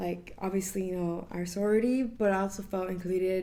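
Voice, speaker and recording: A woman speaks at a medium pitch and moderate pace in a dark, mellow tone. Her intonation is monotone and flat, and audible room echo surrounds it. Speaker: college sorority member. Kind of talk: casual interview.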